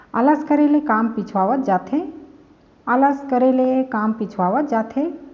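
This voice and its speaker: With a Chhattisgarh accent, a woman talks at a high pitch with ordinary pitch variation. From Chhattisgarh, India. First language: Chhattisgarhi (speaking Hindi). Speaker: language teacher. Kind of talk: tutorial. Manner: slow, repetitive.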